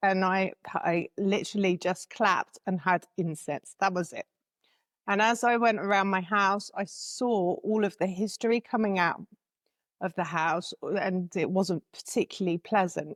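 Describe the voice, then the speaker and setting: Someone speaks at a fairly slow pace with an English accent. The sound is dry and close with no echo, on a very clean recording with a silent background. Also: woman. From England. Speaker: spiritual guide and author. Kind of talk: interview.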